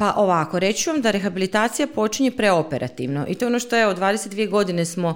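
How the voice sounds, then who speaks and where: A woman with an ordinary speaking voice, lively intonation and a fairly quick pace. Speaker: speech therapist. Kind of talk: interview.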